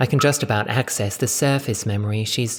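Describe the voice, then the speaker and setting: A man puts on a character voice with an English accent, talking at a fairly quick pace with fairly even intonation. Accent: posh genteel English. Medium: read story. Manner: clipped, icy, snobbish.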